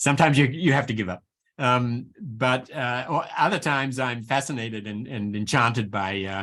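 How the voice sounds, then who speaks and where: In a very clean recording with a silent background, a man speaks at a moderate pace. His tone is bright and sharp, and his medium pitch varies in an ordinary way. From New Zealand. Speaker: professor. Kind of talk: Q&A discussion after lecture. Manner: halting, many fillers and repetitions.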